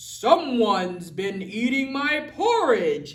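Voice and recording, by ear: A put-on character voice pitched fairly high moves at a very slow pace. Its pitch swings very widely.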